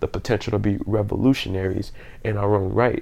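A man with an American accent, a fairly low pitch, a dark, mellow tone and a very fast pace. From US South, New Orleans, Louisiana. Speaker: podcast host. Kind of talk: casual monologue. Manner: halting, many fillers.

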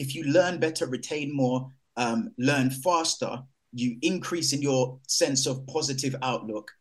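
Speaking with a London accent, a man uses a fairly high pitch. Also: ordinary pitch variation, fairly slow pace. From Jamaica, raised in East London. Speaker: explorer and nature broadcaster. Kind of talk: panel talk.

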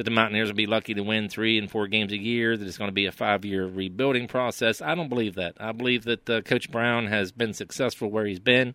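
A man with a West Virginia accent speaks at a very fast pace with hardly any pauses. His pitch is fairly low and his intonation fairly even. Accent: West Virginia Appalachian. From West Virginia, Preston County. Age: 50s. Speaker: local sports commentator. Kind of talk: casual sports chat.

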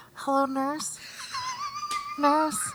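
A put-on character voice pitched high. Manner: creepy, teasing, drawn out.

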